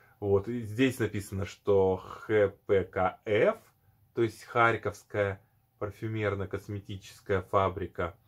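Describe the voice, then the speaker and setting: The man's voice is fairly low in pitch and somewhat breathy, with monotone, flat intonation. He goes at a very slow pace over a quiet background. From former Soviet Union. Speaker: perfume video blogger; perfume reviewer. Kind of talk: product review. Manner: hesitant, many fillers.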